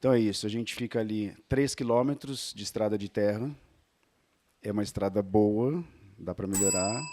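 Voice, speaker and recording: With ordinary pitch variation and a fairly low pitch, a man talks at a moderate pace broken by long, frequent pauses. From São Paulo state interior, near Minas border. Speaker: inn owner. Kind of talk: business pitch at networking meeting.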